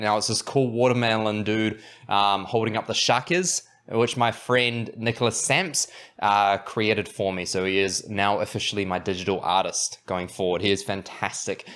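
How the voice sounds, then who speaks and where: A man with a New Zealand accent, fairly low pitch, ordinary pitch variation and a moderate pace. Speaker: podcast host and anxiety coach. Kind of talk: tutorial. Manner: casual, halting with fillers.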